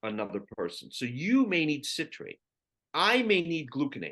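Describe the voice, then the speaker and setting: Fairly slow speech from a man, set against a quiet background. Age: 60s. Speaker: physician. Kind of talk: interview. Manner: animated.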